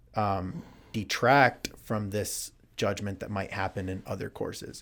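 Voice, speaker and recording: Recorded very clean with a silent background, a man with an American accent and a plain, everyday voice talks at a fairly slow pace, fairly low in pitch, with fairly even intonation. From United States. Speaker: English teacher. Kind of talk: casual chat. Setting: studio.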